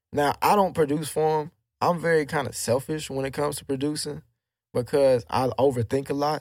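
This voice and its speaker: A plain, everyday voice from a man with an American accent, fairly high in pitch, fairly quick, with fairly even intonation and big swings in loudness. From Texas, Houston. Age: 20s. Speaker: rapper and music producer. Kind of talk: casual chat.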